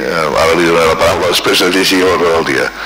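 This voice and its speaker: A man's speech comes through with noticeable background noise around it. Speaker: mayor chairing the municipal council. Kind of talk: formal council session chairing. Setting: council chamber meeting. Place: hall. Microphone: podium.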